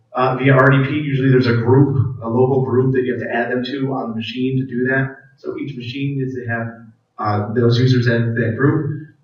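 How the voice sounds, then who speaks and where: A man of medium pitch talks fairly quickly in a monotone, flat intonation. Room echo is audible. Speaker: IT staff presenter. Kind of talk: conference presentation with live demo. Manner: fast.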